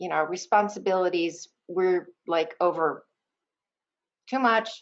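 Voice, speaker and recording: A woman talks at a fairly slow pace with ordinary pitch variation. She has a normal speaking voice. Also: medium pitch for a woman. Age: 60s. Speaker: counselor. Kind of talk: interview.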